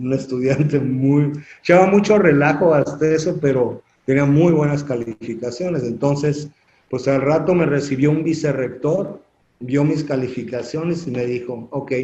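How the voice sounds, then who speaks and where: A man's somewhat breathy, fairly high-pitched voice with a dark, mellow tone at a moderate pace. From Mexico City. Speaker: construction industry association president. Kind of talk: interview. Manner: animated storytelling.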